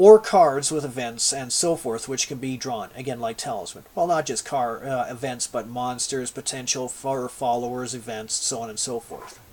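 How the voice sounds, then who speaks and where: The delivery keeps a moderate pace with ordinary pitch variation and hardly any pauses. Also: man, medium pitch for a man. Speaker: video blogger and game designer. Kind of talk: casual monologue vlog. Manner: halting, with filler words.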